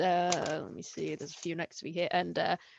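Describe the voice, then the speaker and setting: An unremarkable speaking voice at a moderate pace, fairly even in intonation, over a quiet background. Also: woman. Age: 20s. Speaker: illustrator. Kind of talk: interview.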